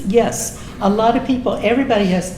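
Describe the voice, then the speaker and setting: Someone with an American accent speaks at a fairly slow pace with ordinary pitch variation, amid noticeable background noise and audible room echo. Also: woman. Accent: Texas accent, comes out now and then. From Texas, Austin. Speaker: political club speaker, retired music teacher. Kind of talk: informal talk to local club with discussion.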